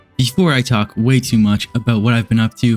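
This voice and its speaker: A man speaks at a medium pitch. Music plays in the background, and the sound is dry and close with no echo. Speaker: Minecraft builder. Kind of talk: casual gameplay commentary.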